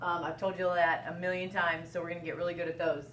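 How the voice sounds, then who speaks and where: A woman speaks with audible room echo around her. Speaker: elementary school teacher. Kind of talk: recorded classroom lesson. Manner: loud.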